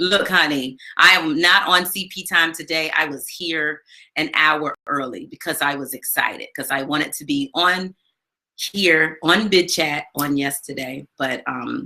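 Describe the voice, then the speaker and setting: The voice has a bright, sharp tone, moving at a fairly slow pace with ordinary pitch variation and big swings in loudness. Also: woman, very deep, low pitch for a woman. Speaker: live stream host. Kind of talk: casual chat.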